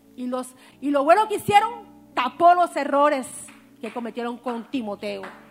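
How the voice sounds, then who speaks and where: A high-pitched woman speaks at a moderate pace with very wide pitch swings and long, frequent pauses, over noticeable background noise. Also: big swings in loudness. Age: 40s. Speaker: preacher. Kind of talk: sermon.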